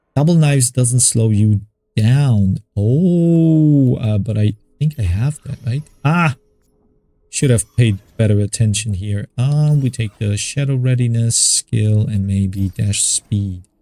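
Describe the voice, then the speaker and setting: A man speaks at a very slow pace in a medium pitch with ordinary pitch variation, his voice dry and close with no echo while music plays in the background. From Germany. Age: 40s. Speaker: gaming YouTuber. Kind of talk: gameplay commentary.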